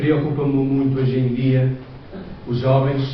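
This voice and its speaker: With a European Portuguese accent, a man speaks in a monotone, flat way at a moderate pace, with audible room echo and noticeable background noise. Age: 60s. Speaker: lay preacher. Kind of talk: sermon. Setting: church.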